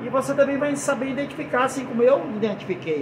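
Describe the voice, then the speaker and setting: A man with a Brazilian accent speaks with lively intonation. Noticeable background noise and audible room echo are present. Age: 60s. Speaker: preacher. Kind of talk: sermon. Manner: halting.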